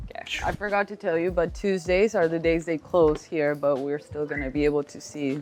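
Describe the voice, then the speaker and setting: A woman speaks at a fairly quick pace with hardly any pauses, her pitch fairly low and its variation ordinary. Music plays in the background. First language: Spanish. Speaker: realtor. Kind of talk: property tour.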